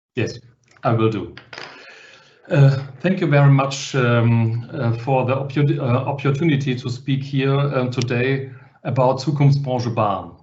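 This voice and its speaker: In a space with audible room echo, a man talks fairly slowly. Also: medium pitch for a man, fairly even intonation. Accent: German. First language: German. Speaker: publisher. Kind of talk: webinar panel talk. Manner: halting.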